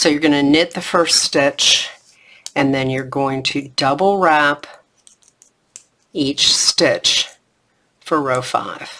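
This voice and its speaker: Long, frequent pauses break up talking that proceeds very slowly. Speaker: knitting instructor. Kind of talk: tutorial. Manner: repetitive step-by-step instruction.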